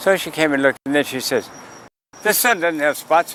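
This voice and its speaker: A man's fairly high pitch over noticeable background noise. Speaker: sidewalk astronomer. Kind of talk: outdoor public astronomy talk. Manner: calling out loudly to passersby.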